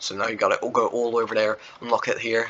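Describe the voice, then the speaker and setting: A man keeps a fairly quick pace while background noise is clearly audible. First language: not English. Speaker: Roblox game developer and YouTuber. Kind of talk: casual gameplay walkthrough chat. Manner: rambling, filler-heavy casual talk.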